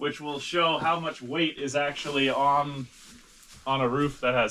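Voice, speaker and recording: With noticeable background noise around him, a man speaks, his pitch varying in an ordinary way. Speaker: farmer and vlogger. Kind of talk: casual vlog narration while working. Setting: outdoors on farm in snowstorm. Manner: loud.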